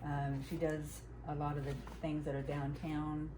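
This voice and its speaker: A woman with an American accent is heard over noticeable background noise and audible room echo. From US South, Huntsville, Alabama. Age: 60s. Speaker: quilter and craft vlogger. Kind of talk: casual chat. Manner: halting.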